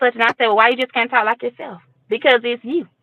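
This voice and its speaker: Very fast, animated speech from a woman with a Georgia accent and a high pitch. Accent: Southern US (Georgia), country. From US South, Fort Valley, Georgia. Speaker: guest, single mother. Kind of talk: casual chat. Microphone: lag on connection.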